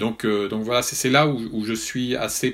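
This man's voice sits at a fairly low pitch. He talks at a moderate pace. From northern France (Nord). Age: 60s. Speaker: journalist. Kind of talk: interview. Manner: hesitant with fillers.

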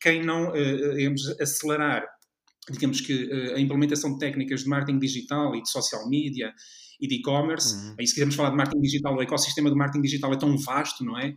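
Speech rushes by at a very fast pace with a European Portuguese accent. The intonation stays monotone and flat. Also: man, fairly high pitch for a man. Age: 40s. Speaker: marketing lecturer and consultant. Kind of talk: interview. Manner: halting.

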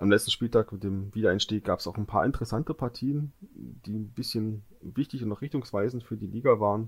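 Somewhat breathy and fairly low in pitch, a man speaks at a fairly quick pace with hardly any pauses and ordinary pitch variation, in a very clean recording with a silent background. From Görlitz, eastern Saxony. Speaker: football podcast co-host. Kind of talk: casual chat.

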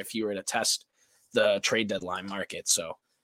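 Delivered at a fairly quick pace in a Boston accent, the voice has a bright, sharp tone and a dry, close sound with no echo. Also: man. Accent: Boston area. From Massachusetts. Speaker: sportswriter and student. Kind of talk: live-streamed sports chat. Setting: live stream.

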